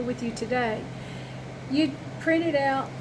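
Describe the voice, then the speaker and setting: Amid audible room echo and noticeable background noise, a woman with a high pitch speaks at a moderate pace with ordinary pitch variation. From Arkansas, grew up there, moved to East Tennessee at 18. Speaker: compliance consultant. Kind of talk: tutorial. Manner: conversational, folksy.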